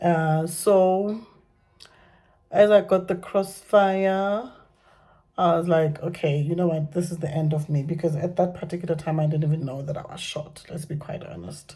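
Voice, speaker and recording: Her voice is dark and mellow, fairly low for a woman and somewhat breathy, with fairly even intonation, big swings in loudness, and a moderate pace. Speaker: vlogger sharing personal story. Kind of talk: personal testimony vlog. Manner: halting, many fillers and repetitions.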